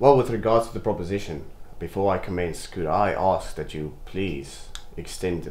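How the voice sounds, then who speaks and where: Over light background noise and audible room echo, a man talks at a moderate pace in a somewhat breathy voice with ordinary pitch variation. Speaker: actor playing a business associate. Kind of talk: scripted drama dialogue. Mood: polite, formal persuasion. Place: home room.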